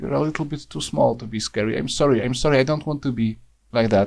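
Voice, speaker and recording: Talking at a fairly quick pace, a man with a non-native accent uses lively intonation and vocal fry. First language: Polish. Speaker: YouTube reviewer. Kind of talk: rant review. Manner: hesitant, frequent fillers.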